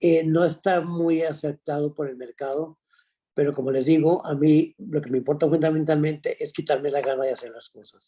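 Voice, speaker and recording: A man speaks in a dark, mellow tone with fairly even intonation. His loudness swings widely. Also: fairly high pitch for a man, moderate pace. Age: 80s+. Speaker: painter. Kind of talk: interview. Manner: halting.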